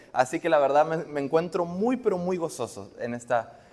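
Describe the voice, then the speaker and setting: A man's voice swings very widely in pitch. He keeps a moderate pace. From Argentina. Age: young. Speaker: preacher. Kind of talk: sermon. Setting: church.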